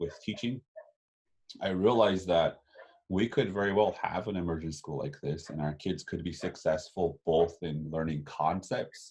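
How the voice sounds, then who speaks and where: In a Lakota accent, a man talks with a very deep, low pitch. His pace is moderate and his pitch variation ordinary. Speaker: Lakota language educator. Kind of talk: interview. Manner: halting, many fillers and repeats.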